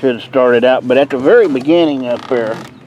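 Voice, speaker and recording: A man speaks in a relaxed tone at a medium pitch. Noticeable background noise runs underneath. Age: 60s. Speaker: home gardener, video creator. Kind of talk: casual garden tour vlog. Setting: outdoors in garden. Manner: relaxed, halting with fillers.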